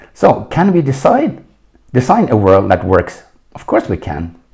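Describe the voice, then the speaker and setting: Speaking with a Norwegian accent, a man swings very widely in pitch and has vocal fry. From Norway. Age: 60s. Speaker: leadership coach. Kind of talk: solo podcast monologue.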